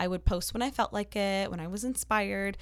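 A woman with a Canadian accent speaks in an ordinary speaking voice at a fairly quick pace, her medium pitch carrying fairly even intonation on a very clean recording with a silent background. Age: 20s. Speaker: YouTuber, health and wellness creator. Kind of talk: casual interview chat.

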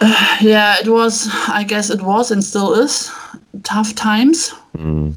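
The speaker talks at a very slow pace with a German accent. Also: woman, fairly high pitch for a woman, fairly even intonation. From Germany. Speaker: family photographer. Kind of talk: interview answers. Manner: halting.

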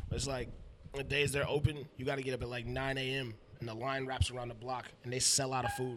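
Noticeable background noise accompanies a speaker with an American accent talking at a fairly quick pace in a monotone, flat intonation. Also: man, medium pitch for a man. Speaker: rapper. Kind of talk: casual chat. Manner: joking, laid-back.

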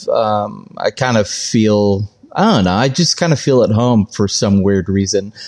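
A man with an ordinary speaking voice and a fairly low pitch talks at a fairly slow pace. His pitch variation is ordinary and his loudness very even. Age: 40s. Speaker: former butcher shop owner and cook. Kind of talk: casual interview chat.

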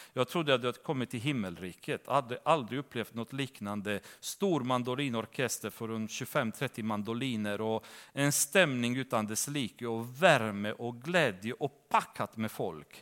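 With hardly any pauses, a man in a plain, everyday voice speaks at a medium pitch and moderate pace with ordinary pitch variation, on a very clean recording with a silent background. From Romania. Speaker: bible teacher. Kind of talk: bible study teaching. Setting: church.

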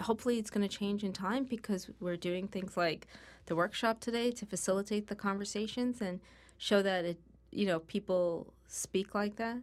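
On a very clean recording with a silent background, a woman talks at a moderate pace. Her voice is fairly high, with ordinary pitch variation. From New York. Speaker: diversity expert. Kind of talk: interview. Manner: clearly enunciated.

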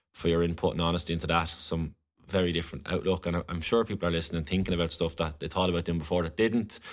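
A man with a very deep, low pitch talks at a very fast pace in an Irish accent, his intonation fairly even. The recording is very clean, with a silent background. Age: 20s. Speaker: podcast host. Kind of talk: interview.

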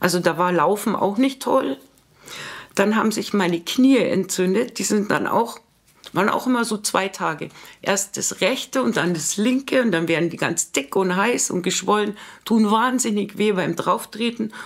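A woman with a plain, everyday voice, medium pitch, ordinary pitch variation and a moderate pace. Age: 50s. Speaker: office worker sharing vaccine injury story. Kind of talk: personal testimony.

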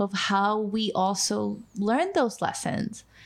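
A woman with a Spanish accent speaks at a medium pitch in a monotone, flat intonation. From Mexico (Mexico City, Acapulco), moved to US at fifteen. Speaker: nonprofit immigration worker and podcast co-host. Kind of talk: casual chat.

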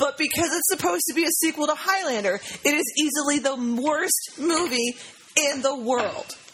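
Noticeable background noise runs under a woman's voice. She speaks at a moderate pace in a high pitch with ordinary pitch variation. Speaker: podcast co-host. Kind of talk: casual chat.

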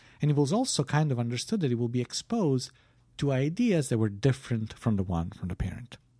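A man's very fast, somewhat breathy voice of medium pitch, dark and mellow in tone, with lively intonation, on a very clean recording with a silent background. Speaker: philosophy podcast co-host. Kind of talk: casual chat. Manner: halting.

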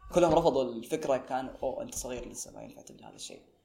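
This man's voice has a dark, mellow tone. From Saudi Arabia, Tabuk. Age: young. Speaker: art magazine founder, university student. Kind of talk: podcast interview. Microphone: poor recording quality.

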